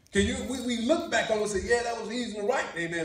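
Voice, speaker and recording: A man talks very fast in an extremely high pitch, with ordinary variation in his pitch. There is audible room echo and light background noise. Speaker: pastor. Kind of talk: sermon. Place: church. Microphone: camera far.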